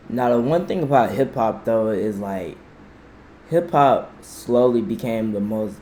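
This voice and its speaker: A man talks fairly slowly with lively intonation amid noticeable background noise and audible room echo. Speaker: YouTube reaction channel host. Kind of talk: casual reaction commentary. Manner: animated.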